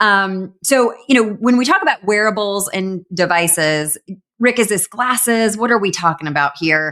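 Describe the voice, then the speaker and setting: A woman's medium-pitched voice at a moderate pace, with lively intonation and a bright, sharp tone. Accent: Southern US. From US South. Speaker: e-commerce news show co-host. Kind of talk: casual chat.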